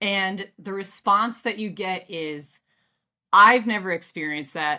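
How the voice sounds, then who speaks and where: Talking in a Midwestern American accent at a fairly slow pace, a woman has a medium pitch, a bright, sharp tone, ordinary pitch variation and big swings in loudness. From US Midwest. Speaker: customer experience expert. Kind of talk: casual interview. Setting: home office, video call.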